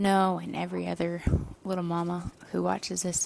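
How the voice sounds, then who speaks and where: A woman's quiet whisper at a moderate pace. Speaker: mother and vlogger. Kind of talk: testimony. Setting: at home. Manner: whispering, quiet.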